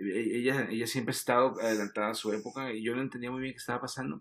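A man of medium pitch at a fairly quick pace, with ordinary pitch variation. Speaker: advertising creative director. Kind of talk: casual chat. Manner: halting, frequent repetitions.

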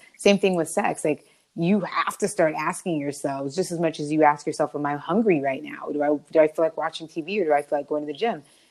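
Speaking at a very fast pace, a woman uses a very deep, low pitch, ordinary pitch variation and an energetic tone. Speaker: podcast co-host. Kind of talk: casual chat.

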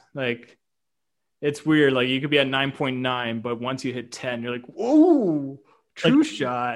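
A man's unremarkable speaking voice with a Canadian accent, medium in pitch, fairly even in intonation and fairly slow in pace. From Canada. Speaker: YouTube reaction creator. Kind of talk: casual chat.

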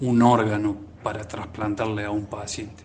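Amid audible room echo, a man speaks at a very slow pace with medium pitch. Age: 50s. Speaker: cardiologist. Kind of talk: radio interview.

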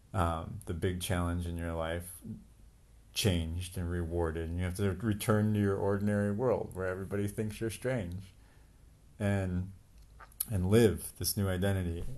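A man with a very deep, low pitch, fairly even intonation and a moderate pace, with long, frequent pauses and audible room echo. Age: 40s. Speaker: departing podcast co-participant, entrepreneur. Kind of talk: casual chat.

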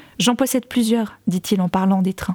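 A woman's somewhat breathy voice with a dark, mellow tone, medium pitch, ordinary pitch variation and a fairly quick pace, in a dry, close sound with no echo. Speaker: podcast fiction narrator and author. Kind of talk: literary audiobook reading of a first-person novel, narrated as a woman's memoir; casual recap intro followed by scripted narration. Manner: casual and chatty in the recap, then a more formal literary delivery.

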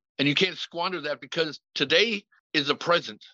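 A man's high-pitched voice with a bright, sharp tone, dry and close with no echo, over a quiet background. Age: 40s. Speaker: recovering addict sharing his story. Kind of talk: testimony.

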